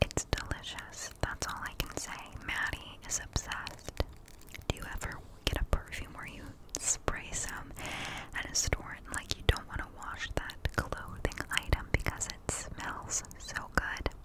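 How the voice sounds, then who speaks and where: A woman whispers. She goes at a fairly slow pace. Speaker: ASMR creator. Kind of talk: soft-spoken ASMR chat. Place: home room. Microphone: studio mic.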